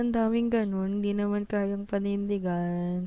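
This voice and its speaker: With audible room echo, a woman talks at a fairly slow pace in a dark, mellow tone, medium pitch and fairly even intonation. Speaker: music reaction video creator. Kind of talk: casual reaction commentary.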